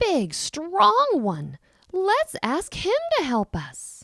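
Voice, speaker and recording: A woman speaks very slowly in a put-on character voice. Her pitch is extremely high. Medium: read story.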